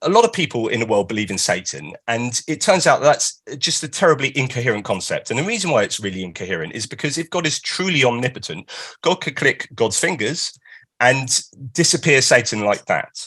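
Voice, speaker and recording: With a British accent and a bright, sharp tone, a man talks fairly quickly at a medium pitch with very wide pitch swings. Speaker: author and philosopher giving a talk. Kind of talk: lecture. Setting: live stream.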